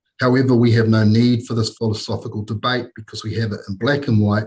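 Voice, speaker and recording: Somewhat breathy, a man with a New Zealand accent speaks at medium pitch with fairly even intonation. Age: 60s. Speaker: consultant making a public submission. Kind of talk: formal submission to a parliamentary committee. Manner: formal, with hesitations.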